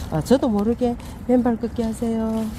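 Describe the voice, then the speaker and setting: At a moderate pace, a woman talks at medium pitch with noticeable background noise behind her. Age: 50s. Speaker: interviewee. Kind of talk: interview.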